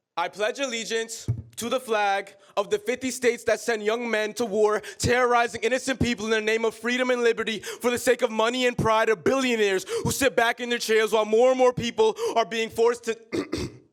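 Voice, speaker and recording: Against noticeable background noise, a man with an American accent speaks in an extremely high voice with fairly even intonation. His pace is fairly quick, with hardly any pauses. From Queens, New York City. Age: young. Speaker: slam poet. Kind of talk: spoken word poetry slam performance. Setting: live stage performance.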